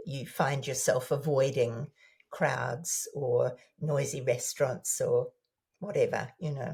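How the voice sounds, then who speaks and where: Talking at a very slow pace, a woman speaks with a New Zealand accent. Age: 70s. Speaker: former newsreader, author. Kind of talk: interview answer.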